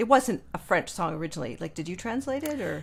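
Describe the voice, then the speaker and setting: A woman with a normal speaking voice uses lively intonation at a medium pitch. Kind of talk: podcast interview host. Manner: casual, conversational.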